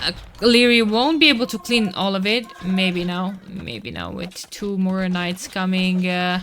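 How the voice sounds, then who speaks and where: There is noticeable background noise as a woman speaks with a Romanian accent. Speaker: esports caster. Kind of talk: live commentary. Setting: live stream. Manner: animated.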